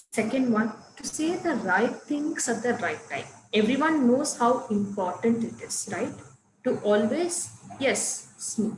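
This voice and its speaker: A woman with a Tamil accent, fairly high in pitch, fairly slow, lively in intonation, amid noticeable background noise and audible room echo. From Coimbatore, Tamil Nadu, India. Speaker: English teacher. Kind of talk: online class.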